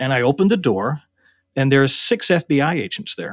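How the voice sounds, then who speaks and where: On a very clean recording with a silent background, a man with an unremarkable speaking voice talks at a fairly quick pace. His pitch is medium, with lively intonation. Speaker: interviewee, former war gamer. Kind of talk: recollection interview.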